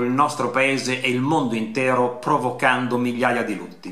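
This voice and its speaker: Audible room echo around a man's speech. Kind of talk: formal memorial statement. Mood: solemn, somber. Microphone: webcam.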